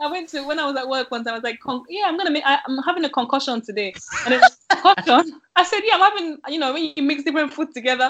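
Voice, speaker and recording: Her pitch is high and her intonation lively. The woman talks very fast with hardly any pauses. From Nigerian heritage (Yoruba). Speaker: small business owner running classes. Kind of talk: interview.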